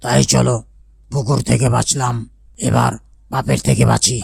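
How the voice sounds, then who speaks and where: A raspy, cartoonish character voice at a moderate pace. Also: man, very deep, low pitch for a man. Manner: impatient, blunt.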